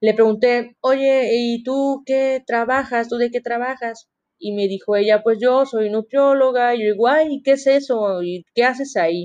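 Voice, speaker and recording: A woman with a high pitch speaks at a fairly slow pace, with hardly any pauses. Her intonation stays fairly even. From Mexico, Veracruz (Coatzacoalcos). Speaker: university student podcaster. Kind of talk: casual monologue.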